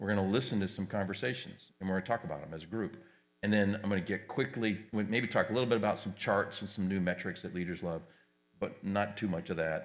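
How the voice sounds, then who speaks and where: A man's fairly low voice at a very fast pace with fairly even intonation. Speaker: tech company presenter moderating a panel. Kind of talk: conference presentation.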